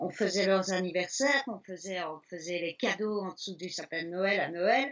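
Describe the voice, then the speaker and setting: Her pitch medium, a woman speaks with ordinary pitch variation. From Belgium, Liège. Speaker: elephant sanctuary founder, former restaurateur. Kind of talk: interview. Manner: hesitant fillers.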